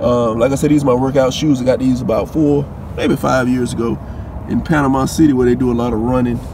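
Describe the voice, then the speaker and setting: A man talks with ordinary pitch variation in a dry sound with no echo, over noticeable background noise. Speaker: sneaker vlogger. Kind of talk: casual vlog chat. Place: car. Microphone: phone near.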